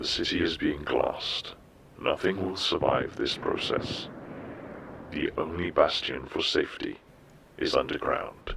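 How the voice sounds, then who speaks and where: A man puts on a character voice at a moderate pace. Clear background noise sits behind him. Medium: audio drama. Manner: calm, formal, measured.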